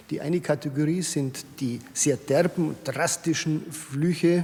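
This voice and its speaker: A man's fairly high voice, with ordinary pitch variation, comes through above noticeable background noise. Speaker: retired civil servant and saying collector. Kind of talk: interview.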